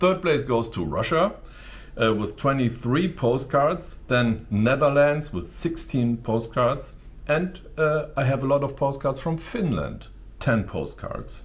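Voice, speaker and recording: Talking fairly slowly with a strong German accent, a man has a fairly high pitch, vocal fry and ordinary pitch variation. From Germany. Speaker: YouTuber. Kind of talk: casual vlog talk to camera. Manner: halting, with many fillers.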